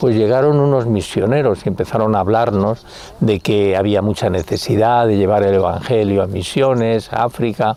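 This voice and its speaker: The pitch rises and falls in a typical way while clear background noise carries on behind the speech. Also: man. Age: 70s. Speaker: religious convert giving testimony. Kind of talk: testimony. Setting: outdoors.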